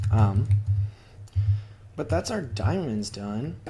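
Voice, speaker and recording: A man speaks at a fairly low pitch, somewhat breathy, with a dark, mellow tone. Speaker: gaming video creator. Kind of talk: gameplay commentary. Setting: home recording with a cat. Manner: casual, hesitant with fillers.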